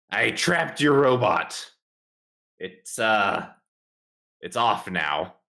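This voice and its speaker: Putting on a raspy character voice at medium pitch, a man speaks very slowly with long, frequent pauses and very wide pitch swings. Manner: proud, triumphant.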